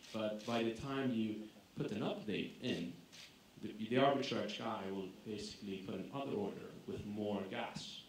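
Audible room echo and light background noise accompany a man as he talks at a fairly slow pace. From Greece. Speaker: tech company co-founder; conference speaker. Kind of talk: conference talk. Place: hall.

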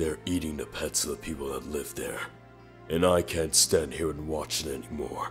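With clear music in the background, a man does a put-on character voice at a moderate pace. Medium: dub.

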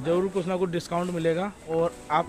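Clear music plays in the background as a high-pitched man speaks in a flat monotone. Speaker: vlogger showing family shops. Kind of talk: casual vlog chat. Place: street. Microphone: phone near.

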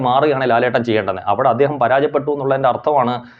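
The speaker is a man with a fairly high pitch. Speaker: film commentary vlogger. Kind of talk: opinion monologue. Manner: halting, repetitive.

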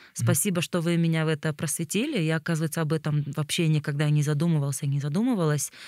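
A woman with a very deep, low pitch and a dark, mellow tone talks at a very fast pace, with hardly any pauses, fairly even intonation and very even loudness. The sound is dry with no echo against a quiet background. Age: 30s. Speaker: podcast host. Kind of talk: casual interview conversation; scripted show outro. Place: tent. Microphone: studio mic.

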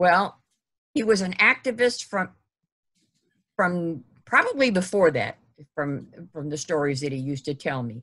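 A woman with an American accent speaks at a fairly low pitch with very wide swings. Her pauses are long and frequent. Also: moderate pace, quiet background. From Ohio. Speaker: history group organizer and webinar host. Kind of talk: webinar moderation. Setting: video call. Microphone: video call.

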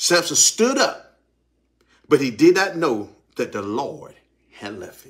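With a Southern US accent, a man talks at a fairly slow pace with vocal fry. His pitch swings very widely. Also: quiet background. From US South. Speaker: pastor. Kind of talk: sermon. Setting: church. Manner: animated. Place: studio. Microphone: phone near.

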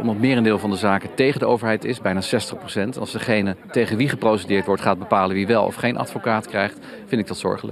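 A man with a fairly low pitch at a very fast pace, fairly even intonation, dry sound with no echo and noticeable background noise. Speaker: lawyer. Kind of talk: interview. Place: street. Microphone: handheld.

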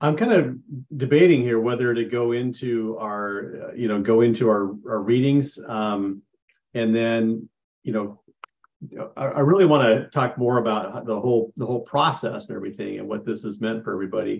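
Here a man speaks at a moderate pace. His pitch moves with ordinary variation. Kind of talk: class discussion leading. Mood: calm, reflective. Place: home room. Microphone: webcam.

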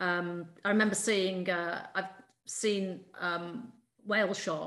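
A woman talks at a very slow pace with a fairly low pitch. Her intonation is fairly even, and the background is quiet. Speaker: PhD student, co-host. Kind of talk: interview, conversational. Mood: reflective, concerned. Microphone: video call.

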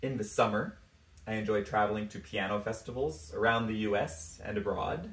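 A man at a medium pitch and a moderate pace, with audible room echo. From US, New York City. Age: 30s. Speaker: pianist. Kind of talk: prepared self-introduction. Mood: warm, enthusiastic. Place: home room. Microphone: phone near.

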